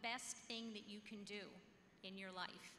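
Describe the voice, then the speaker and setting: A woman speaks with fairly even intonation, with audible room echo and light background noise. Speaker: school board member; speaker. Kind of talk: ceremony speech. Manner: conversational. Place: hall. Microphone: podium.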